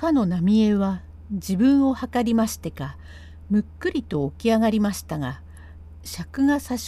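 The speaker reads in an unforced reading voice with lively intonation.

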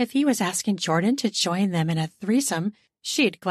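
Against a quiet background, the reading is done in an unforced reading voice with lively intonation.

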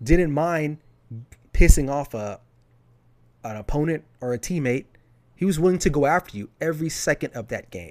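On a very clean recording with a silent background, a man speaks in a fairly high pitch. His moderate pace comes with long, frequent pauses and big swings in loudness. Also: lively intonation. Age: 30s. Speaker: sports podcaster. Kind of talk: solo podcast commentary. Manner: casual, conversational.

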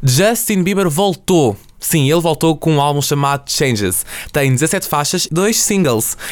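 With a normal speaking voice, a man speaks at a fairly slow pace, his fairly high pitch moving in a lively way while his loudness stays very even. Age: young. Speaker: student podcast host. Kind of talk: casual chat. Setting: studio.

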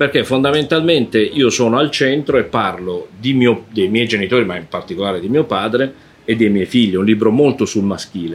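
A man with a plain, everyday voice speaks at a fairly quick pace, his medium pitch carried by lively intonation. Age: 60s. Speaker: anthropologist and author. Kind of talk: interview.

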